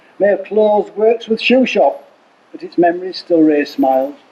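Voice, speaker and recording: A man talks over noticeable background noise. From Yorkshire, England. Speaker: performance poet. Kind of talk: humorous poetry reading. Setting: outdoors.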